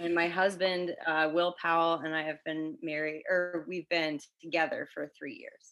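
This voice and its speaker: A woman with an American accent speaks at a moderate pace in a fairly low, monotone voice with flat intonation, big swings in loudness and hardly any pauses. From Connecticut. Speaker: middle school theology teacher. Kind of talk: casual interview. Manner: hesitant, many fillers.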